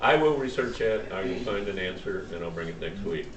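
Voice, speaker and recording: There's audible room echo and noticeable background noise as a man speaks. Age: 70s. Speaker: Bible study teacher. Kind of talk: Bible study lesson. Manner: halting, many fillers.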